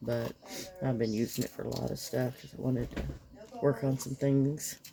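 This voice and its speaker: Speaking in a very deep, low pitch with a slight Kentucky accent, a woman keeps fairly even intonation at a moderate pace. Noticeable background noise is present. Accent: slight Southern US (Kentucky). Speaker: resin crafter. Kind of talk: craft tutorial. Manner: casual, chatty.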